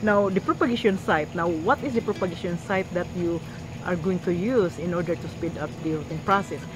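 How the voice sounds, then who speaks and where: A woman with a fairly low pitch talks at a fairly quick pace, with noticeable background noise. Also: ordinary pitch variation. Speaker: gardening youtuber. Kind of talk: tutorial. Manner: halting.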